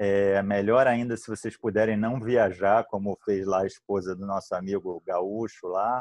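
A man speaks at a fairly slow pace in a fairly low pitch, his intonation flat and monotone. The sound is dry and close with no echo, over a quiet background. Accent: Rio de Janeiro. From Rio de Janeiro, Brazil. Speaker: infectious disease physician. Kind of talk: online panel discussion.

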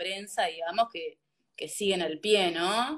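A woman talks at a fairly slow pace with a medium pitch and ordinary pitch variation. It is an ordinary speaking voice. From Uruguay, interior. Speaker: podcast host. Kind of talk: interview.

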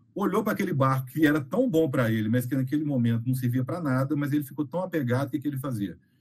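A man talks at a very fast pace with hardly any pauses. His voice is somewhat breathy. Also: medium pitch for a man, ordinary pitch variation. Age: 40s. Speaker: game designer. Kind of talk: casual chat.

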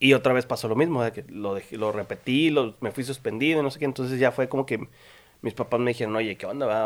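Speaking at a fairly quick pace, a man uses a normal speaking voice at medium pitch with ordinary pitch variation. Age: 20s. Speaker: podcast host, architect. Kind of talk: casual chat.

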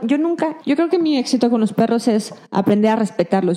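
With noticeable background noise behind her, a woman speaks in a fairly high pitch with lively intonation. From Mexico, Durango. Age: 30s. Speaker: dog trainer and behaviorist. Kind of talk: interview.

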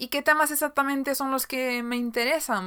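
A woman talks in a bright, sharp tone at a moderate pace. The recording is very clean, with a silent background. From Galicia, Spain. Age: 20s. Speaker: podcast host and YouTuber. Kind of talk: casual solo monologue.

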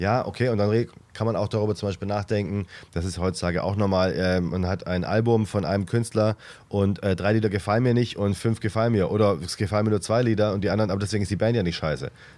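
A man with a fairly low pitch talks at a very fast pace with fairly even intonation in a very clean recording with a silent background. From Swabia, Reutlingen. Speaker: comedian, podcast co-host. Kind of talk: casual chat.

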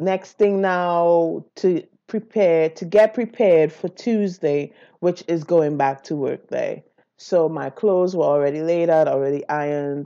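A woman with a dark, mellow tone speaks with ordinary pitch variation over a quiet background. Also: fairly low pitch for a woman. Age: 40s. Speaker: podcast host. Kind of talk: personal monologue. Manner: casual, with frequent fillers.

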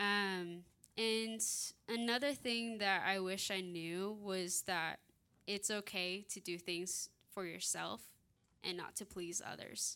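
A woman with an American accent speaks at a very slow pace in a bright, sharp tone, her pitch medium for a woman. The recording is very clean, with a silent background. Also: ordinary pitch variation. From Redding, California. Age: 20s. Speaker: ministry student. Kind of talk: testimony.

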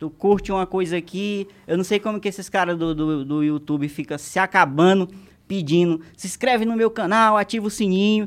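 A man's high voice with ordinary pitch variation on a very clean recording with a silent background. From Maranhão, Brazil. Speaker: comedy content creator. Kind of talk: casual chat. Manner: fast.

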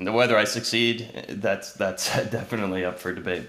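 In a room with audible echo, a man talks at a moderate pace with a Midwestern American accent. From Ohio, US Midwest. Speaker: musician and music retail salesperson. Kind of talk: casual interview.

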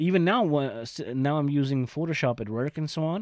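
A man with a slight German accent, fairly high-pitched, lively in intonation, at a moderate pace, on a very clean recording with a silent background. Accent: mild German-accented English. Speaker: podcast co-host. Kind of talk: casual chat. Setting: home attic with microphones. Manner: animated, laughs often.

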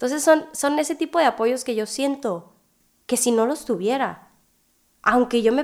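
The recording is very clean, with a silent background. A woman with a high pitch speaks at a moderate pace. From Hermosillo, Sonora, Mexico. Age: 20s. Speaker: student and young mother. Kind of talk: podcast interview.

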